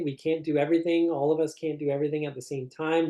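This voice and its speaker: With a Canadian accent, a man speaks in a fairly high pitch with a dark, mellow tone. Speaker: concussion researcher and professor. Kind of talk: webinar lecture. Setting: online webinar. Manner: fast.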